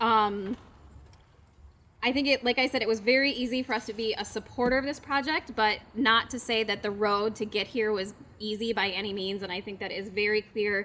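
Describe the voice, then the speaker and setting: Loud and bright with a sharp tone, a woman talks at a fairly quick pace with fairly even intonation. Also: fairly high pitch for a woman. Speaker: economic development agency representative. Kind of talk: public speech at ceremony.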